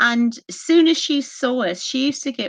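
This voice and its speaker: Someone with a Bristolian accent speaks at a very slow pace against a quiet background. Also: woman. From Bristol, England. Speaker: historian and paranormal investigator. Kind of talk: podcast interview.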